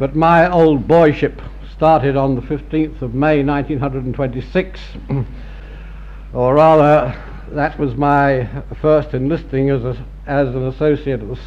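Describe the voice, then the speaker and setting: A fairly high-pitched man at a fairly slow pace, monotone and flat in intonation, over noticeable background noise. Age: 70s. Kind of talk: after-dinner speech. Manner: dry, laconic wit.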